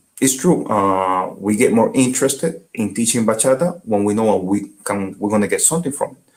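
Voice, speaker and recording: A man with a medium-pitched voice talks at a fairly quick pace with lively intonation and hardly any pauses. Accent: Dominican. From Dominican Republic. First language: Spanish. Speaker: bachata dancer and teacher. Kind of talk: interview. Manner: halting.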